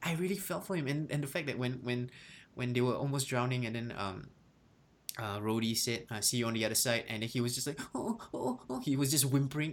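A man speaks at a medium pitch with ordinary pitch variation and a fairly quick pace. He has an unremarkable speaking voice. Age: 20s. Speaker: podcast host. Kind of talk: casual chat.

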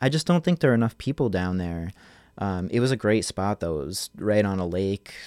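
In a normal speaking voice with an American accent, a man talks at a fairly quick pace, his fairly low pitch moving in lively intonation, in a very clean recording with a silent background. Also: dry, close sound with no echo. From New Jersey, Manahawkin. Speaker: visual artist. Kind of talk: interview. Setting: home studio.

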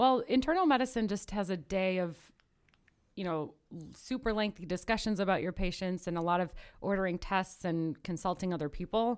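Medium-pitched woman in a normal speaking voice, ordinary pitch variation, fairly quick pace, very clean recording with a silent background. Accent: American. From northern US. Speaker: medical student. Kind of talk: casual chat.

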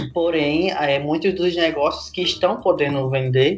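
In a Rio Grande do Norte accent, the speaker sounds somewhat breathy, moving at a moderate pace with fairly even intonation over a quiet background. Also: man. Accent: Brazilian Northeastern (potiguar) Portuguese. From Brazil, Rio Grande do Norte interior (Seridó). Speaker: digital content creator and entrepreneur. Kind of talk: podcast interview.

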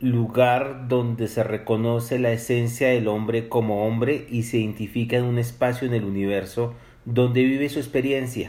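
A man speaks fairly slowly in a flat monotone, with room echo audible. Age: 50s. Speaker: poet and spiritual author. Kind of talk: interview.

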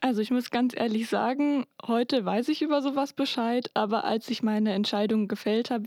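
A woman with a normal speaking voice talks at a moderate pace with fairly even intonation, in a very clean, dry, close recording with a silent background and no echo. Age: 20s. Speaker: engineering student. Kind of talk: interview.

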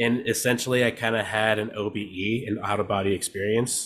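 A man speaks in an unremarkable speaking voice at medium pitch and moderate pace. The recording is very clean, with a silent background. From California, Mexican-American family. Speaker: DJ and producer. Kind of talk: casual chat.

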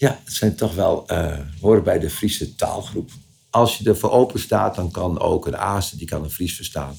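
A man's somewhat breathy, fairly low voice with lively intonation at a moderate pace. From Friesland, Leeuwarden. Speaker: local dialect expert. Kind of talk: interview. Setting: attic office of a museum. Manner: halting.

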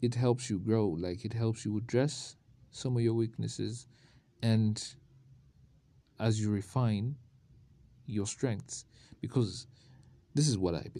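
A man's medium-pitched voice with a dark, mellow tone, ordinary pitch variation, a fairly slow pace, and long, frequent pauses. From Uganda. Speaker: podcaster. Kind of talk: solo motivational monologue. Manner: casual, conversational.

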